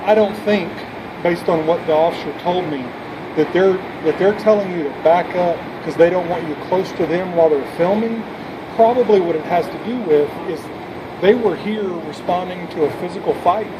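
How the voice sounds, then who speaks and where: Against noticeable background noise, a man speaks at a moderate pace with ordinary pitch variation and long, frequent pauses. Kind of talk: calm explanation to a citizen. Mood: calm, conciliatory. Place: street. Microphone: phone near.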